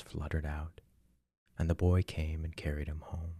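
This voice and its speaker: In a very clean recording with a silent background, a man speaks at a fairly slow pace with a very deep, low pitch, a dark, mellow tone, a somewhat breathy quality and monotone, flat intonation. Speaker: ASMR narrator. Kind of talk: sleep story narration. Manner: soft-spoken, slow, calming.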